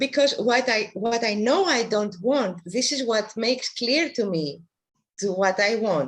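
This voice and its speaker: With a non-native accent, a woman talks at a fairly slow pace, her fairly high voice carrying lively intonation. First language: not English. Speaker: workshop participant. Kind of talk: question in online workshop. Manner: halting.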